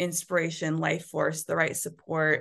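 Against a quiet background, a woman speaks in an energetic tone. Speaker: business and intimacy mentor. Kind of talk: interview.

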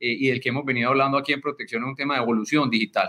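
This is a man speaking at a medium pitch. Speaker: company president. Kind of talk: interview. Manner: animated.

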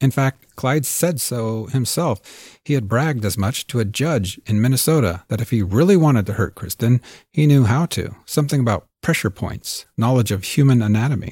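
In a very clean recording with a silent background, a man speaks at a medium pitch in a somewhat breathy, serious tone, with lively intonation. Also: moderate pace, dry, close sound with no echo. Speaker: podcast host and producer. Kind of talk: true-crime narration. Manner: measured, serious, storytelling delivery.

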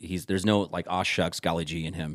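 Fairly even intonation from a man with a very deep, low pitch. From Omaha, Nebraska (South Omaha). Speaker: former TV music news presenter. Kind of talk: casual chat.

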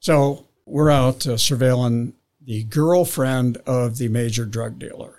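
With an American accent, a man talks at a very slow pace, keeping a medium pitch and fairly even intonation. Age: 70s. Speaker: retired drug investigator. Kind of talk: storytelling.

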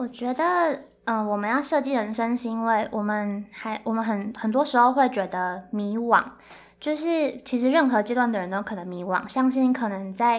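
A woman with a fairly high pitch speaks at a moderate pace in a very clean recording with a silent background. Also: ordinary pitch variation. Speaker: graduate student and career-planning workshop co-founder. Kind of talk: casual interview.

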